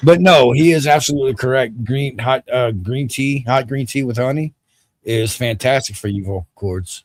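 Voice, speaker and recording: With an American accent, a man speaks at a medium pitch and a moderate pace. His voice is somewhat breathy, with ordinary pitch variation. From US South. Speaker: livestream host. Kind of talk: casual chat.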